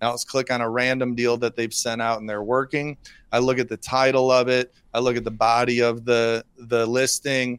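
Heard in a dry, close sound with no echo, a man with an American accent speaks at a medium pitch and a moderate pace, his intonation flat and monotone. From US Midwest, Rockford, Illinois. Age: 40s. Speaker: real estate investor. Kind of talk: interview.

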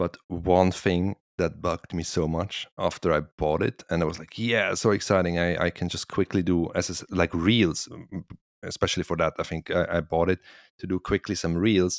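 In a very deep, low voice, a man with a non-native accent speaks at a moderate pace with monotone, flat intonation, the sound dry and close with no echo and the recording very clean against a silent background. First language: not English. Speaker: podcast co-host, woodworker. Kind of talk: casual chat. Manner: laughs often.

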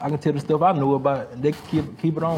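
A man's fairly high voice has a dark, mellow tone and is somewhat breathy. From US South, Macon, Georgia. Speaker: photographer. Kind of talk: interview. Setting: arts venue. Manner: halting, many fillers.

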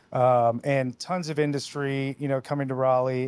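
Recorded dry and close with no echo, a man talks in a plain, everyday voice at a medium pitch. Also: very clean recording, silent background. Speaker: podcast host and treatment center founder. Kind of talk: podcast interview.

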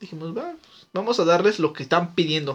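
A man's high voice races along at a very fast pace, with ordinary rises and falls in pitch. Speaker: podcast co-host. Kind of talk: casual chat.

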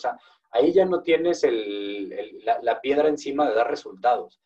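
A man is speaking. He has a Mexican accent. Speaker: podcast host. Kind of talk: interview.

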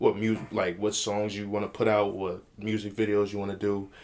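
Recorded very cleanly against a silent background, a man with an American accent speaks at a moderate pace in a fairly low voice. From New Jersey, Passaic. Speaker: DJ and podcast co-host. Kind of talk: casual chat.

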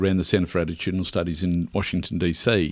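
Delivered at a fairly quick pace, the speech comes through in a very clean recording with a silent background. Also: man. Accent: Australian. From rural Queensland, Australia. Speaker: author. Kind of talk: interview. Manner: halting.

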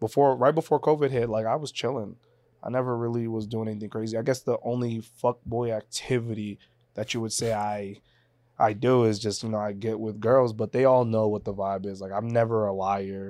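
This man has a medium pitch, a dark, mellow tone and fairly even intonation, and he talks at a fairly quick pace. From Boston area, US (born in Haiti). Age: 20s. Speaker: social media influencer, reality TV contestant. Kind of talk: casual chat.

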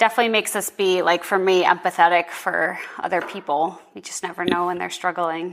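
At a fairly quick pace and with hardly any pauses, a woman speaks with a fairly low pitch, fairly even intonation and big swings in loudness. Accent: American. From US Northeast, Boston area, Massachusetts. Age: 20s. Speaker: physical therapist and powerlifter. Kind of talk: interview, personal testimony.

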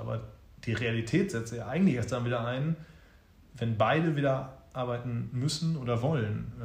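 Over audible room echo, a man speaks at a moderate pace and medium pitch, with ordinary pitch variation. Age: 30s. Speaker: father and advertising production manager. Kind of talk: interview. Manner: hesitant with many fillers.

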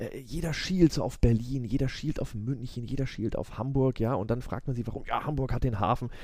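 A man's somewhat breathy, medium-pitched voice, dark and mellow in tone, at a fairly quick pace with ordinary pitch variation. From Würzburg, Franconia, Germany. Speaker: business lawyer. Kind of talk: casual interview chat. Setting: law office, late at night.

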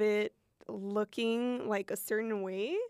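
Speech at a fairly slow pace with fairly even intonation comes through on a very clean recording with a silent background. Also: woman. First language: Spanish. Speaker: pop artist. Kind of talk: casual chat. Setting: studio.

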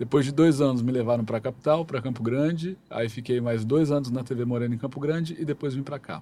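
A man with a medium pitch and a dark, mellow tone speaks at a very fast pace. He uses ordinary pitch variation and hardly any pauses. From Brazil, Mato Grosso do Sul. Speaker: TV news presenter and journalist. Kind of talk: interview.

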